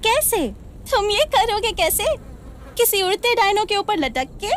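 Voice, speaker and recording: A put-on character voice at an extremely high pitch moves at a fairly slow pace over clear background noise. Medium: fan dub. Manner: mocking, cynical.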